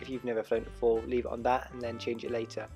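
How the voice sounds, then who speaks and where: Music is heard in the background. A man talks over it at a medium pitch. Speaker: drone hobbyist. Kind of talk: tutorial voiceover. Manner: hesitant, casual.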